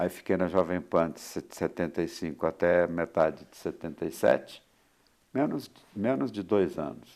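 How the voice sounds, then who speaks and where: Very deep and low in pitch, a man speaks fairly slowly with lively intonation. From Minas Gerais, Brazil. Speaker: sports radio announcer. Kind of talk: interview answer.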